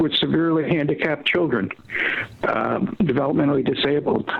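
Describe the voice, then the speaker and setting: Over noticeable background noise, a man with an American accent and fairly high pitch speaks at a fairly quick pace with very even loudness. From US Northeast, Philadelphia. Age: 70s. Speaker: war veteran. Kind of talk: interview.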